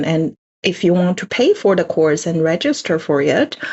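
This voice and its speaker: Woman with a Chinese accent at a moderate pace. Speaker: language course presenter. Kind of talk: online info session presentation. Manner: halting, many fillers.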